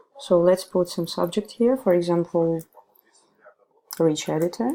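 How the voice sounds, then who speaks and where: A woman speaks with a Russian accent. Her pitch is fairly low. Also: ordinary pitch variation, fairly slow pace. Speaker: ESL teacher. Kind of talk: tutorial.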